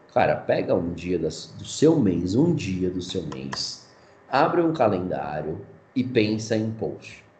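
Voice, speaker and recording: A man's fairly low voice with very wide pitch swings and audible room echo. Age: 20s. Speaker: digital marketing specialist. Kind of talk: casual interview.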